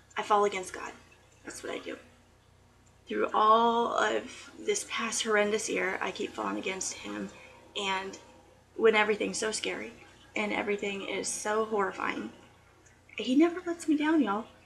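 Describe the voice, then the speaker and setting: A woman speaks at a moderate pace, with long, frequent pauses and big swings in loudness. Noticeable background noise runs under her voice. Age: 30s. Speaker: student. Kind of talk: class speech video to camera. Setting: home, aquarium noise.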